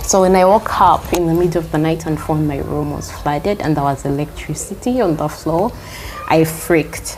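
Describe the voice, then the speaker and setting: Noticeable background noise accompanies a woman who talks at a moderate pace. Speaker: healer and teacher. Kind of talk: interview answer. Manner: soft-spoken.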